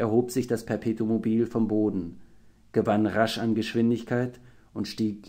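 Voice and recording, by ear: Reading aloud in a natural voice is what this recording captures.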